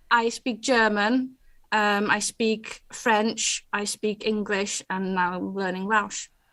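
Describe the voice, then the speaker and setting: A woman's fairly high voice with a Dutch accent, very slow and monotone, flat in intonation, on a very clean recording with a silent background. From Netherlands. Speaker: award winner, digital skills trainer. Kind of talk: interview. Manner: halting.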